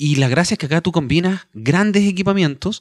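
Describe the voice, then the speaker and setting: In a very clean recording with a silent background and a dry, close sound with no echo, a man talks at a very fast pace. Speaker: podcast host, astronomy guide. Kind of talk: interview. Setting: on location at an observatory at night.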